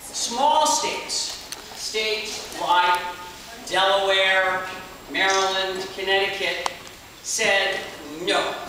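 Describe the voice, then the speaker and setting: Very slow speech with strong room echo and light background noise. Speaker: tour guide. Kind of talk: guided tour talk. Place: hall. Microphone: camera far.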